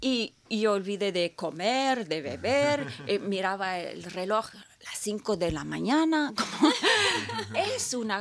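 A woman at a medium pitch with very wide pitch swings and a very slow pace, over noticeable background noise. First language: not Spanish; learned Spanish as a child in Peru (speaking Spanish). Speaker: opera singer. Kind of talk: interview. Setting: studio.

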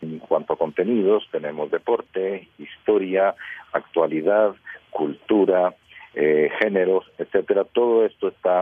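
Noticeable background noise accompanies speech delivered at a fairly slow pace. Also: man. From Costa Rica. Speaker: radio journalist. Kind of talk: radio panel discussion.

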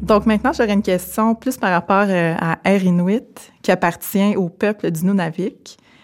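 An ordinary speaking voice at a fairly slow pace, with hardly any pauses, very even loudness and ordinary pitch variation. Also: woman, medium pitch for a woman. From Quebec, Témiscamingue First Nation. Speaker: podcast host. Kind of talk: interview. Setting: aircraft hangar.

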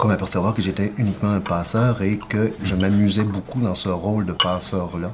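A man with a Quebec accent at a fairly low pitch, at a moderate pace with hardly any pauses. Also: fairly even intonation. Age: 40s. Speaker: playwright. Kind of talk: casual chat.

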